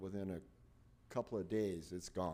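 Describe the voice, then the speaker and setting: This man's pitch is very deep and low. His tone is dark and mellow. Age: 80s+. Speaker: resident giving public comment. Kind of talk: public comment. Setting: city council meeting. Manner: halting, many fillers.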